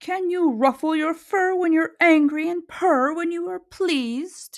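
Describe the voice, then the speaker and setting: A woman does a put-on character voice at an extremely high pitch, talking at a fairly slow pace. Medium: read story.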